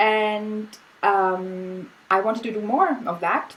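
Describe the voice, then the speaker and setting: In a German accent, a woman speaks at a medium pitch. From Austria. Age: 40s. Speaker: artist. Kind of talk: casual chat. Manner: halting.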